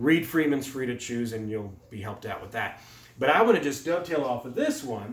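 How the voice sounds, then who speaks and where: Fairly high-pitched man with ordinary pitch variation, amid noticeable background noise and audible room echo. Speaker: economics lecturer. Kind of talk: lecture. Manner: fast.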